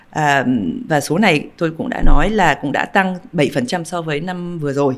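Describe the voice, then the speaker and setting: A woman's fairly low voice at a very slow pace, with very wide pitch swings, on a very clean recording with a silent background. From overseas Vietnamese. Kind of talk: interview. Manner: halting.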